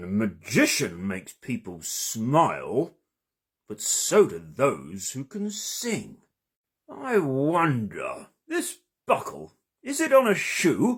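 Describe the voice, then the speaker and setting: A man puts on a character voice with a pompous tone. He speaks at a very slow pace. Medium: read story. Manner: pompous, self-important.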